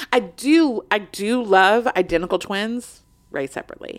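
A woman with fairly high pitch and lively intonation speaks at a moderate pace in an ordinary speaking voice. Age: 40s. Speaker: podcast host. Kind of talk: casual chat.

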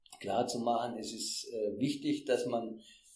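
Speaking at a fairly slow pace, a man is heard with audible echo from the room. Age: 60s. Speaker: retired fair trade manager. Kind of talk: interview. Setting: in person. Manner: halting.

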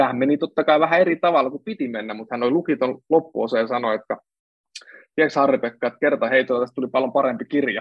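Here a man talks at a very fast pace. His pitch is medium, with ordinary variation. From Central Finland. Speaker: author and speaker. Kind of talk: casual interview conversation. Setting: video livestream. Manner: halting, many fillers.

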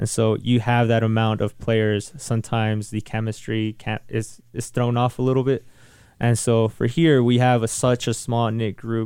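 A moderate pace in an American accent, with monotone, flat intonation. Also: man. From Salinas, California. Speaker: professional soccer player. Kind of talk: interview conversation. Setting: radio studio.

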